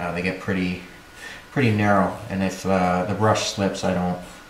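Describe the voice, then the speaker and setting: With audible room echo and light background noise, a man with a very deep, low voice speaks fairly quickly in a flat monotone. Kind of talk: tutorial. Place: workshop.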